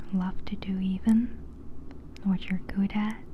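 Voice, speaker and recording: Someone soft-spoken talks at a very slow pace in a relaxed tone. Noticeable background noise runs underneath. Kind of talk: ASMR ramble, casual talk to camera. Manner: soft-spoken, relaxed.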